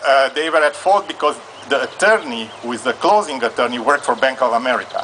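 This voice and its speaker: Over noticeable background noise, a man with a Hungarian accent speaks at a very fast pace, with lively intonation and a fairly high pitch. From Transylvania, Romania. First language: Hungarian or Romanian. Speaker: audience member asking legal question. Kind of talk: live Q&A at event. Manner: halting.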